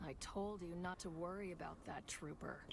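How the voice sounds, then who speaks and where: A put-on character voice, female-sounding and medium in pitch, at a moderate pace over loud background noise. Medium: video game. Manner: brisk, commanding.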